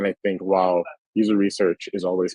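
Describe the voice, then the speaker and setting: An ordinary speaking voice from a man with an American accent and a fairly low pitch. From US, Washington D.C. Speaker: UX research leader. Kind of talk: conference talk.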